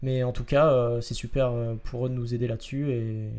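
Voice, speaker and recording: This man talks at a moderate pace in a medium-pitched, dark and mellow voice. His intonation stays monotone and flat. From Marseille, southern France. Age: 20s. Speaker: metalworker and podcast host. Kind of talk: casual podcast chat. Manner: hesitant, many fillers.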